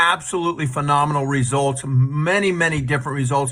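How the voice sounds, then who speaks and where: A man's fairly high-pitched voice has a bright, sharp tone and audible room echo. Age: 60s. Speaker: product user giving testimonial. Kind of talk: testimony. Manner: casual.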